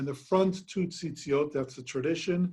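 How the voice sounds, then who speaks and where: A man speaks at a moderate pace with a somewhat breathy voice. His intonation stays fairly even. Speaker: rabbi teaching a class. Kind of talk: lecture.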